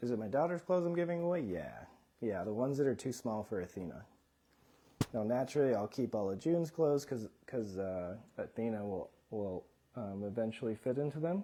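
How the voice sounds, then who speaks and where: Soft-spoken and dark, mellow in tone, a man of medium pitch talks at a fairly quick pace with very wide pitch swings. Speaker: doctor and livestreamer, father. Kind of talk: casual livestream Q and A. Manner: quiet.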